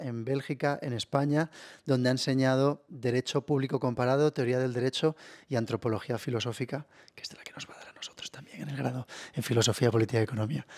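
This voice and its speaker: A man speaks at a very fast pace in a very clean recording with a silent background, the sound dry and close with no echo. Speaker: university academic, moderator. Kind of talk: panel introduction. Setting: video recording. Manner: soft-spoken.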